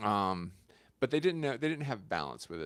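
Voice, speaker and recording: A man speaks with an American accent, his pitch swinging very widely and dipping into vocal fry. The recording is very clean, with a silent background. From South Carolina. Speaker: content creator and livestreamer. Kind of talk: casual livestream chat with viewers. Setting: home kitchen livestream. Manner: hesitant, many fillers.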